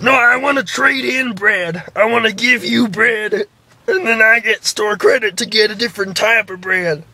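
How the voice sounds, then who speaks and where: A man puts on a high-pitched character voice and speaks at a moderate pace. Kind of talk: prank call comedy. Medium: solo performance. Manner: halting, full of uhs and ums.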